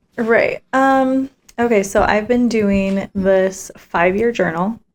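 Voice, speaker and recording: A woman's quiet voice, fairly high in pitch, at a very slow pace with ordinary pitch variation and very even loudness. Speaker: podcast co-host, stay-at-home mom. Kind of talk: casual chat. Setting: home, recording at night. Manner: quiet, hushed.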